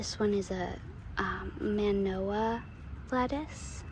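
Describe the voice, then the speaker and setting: A soft-spoken woman talks in a relaxed tone. Noticeable background noise runs underneath. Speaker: home gardener. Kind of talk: casual talk to camera. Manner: soft-spoken, relaxed.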